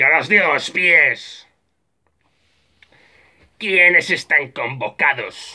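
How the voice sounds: Putting on a character voice, a man speaks very slowly in a fairly high pitch with a bright, sharp tone and lively intonation.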